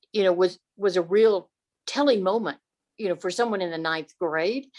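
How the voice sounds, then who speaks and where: With a Texan accent, the speaker uses ordinary pitch variation. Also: woman. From Texas, Dallas. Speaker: audience member, former historical interpreter. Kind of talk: audience question and comment. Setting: video call. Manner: halting.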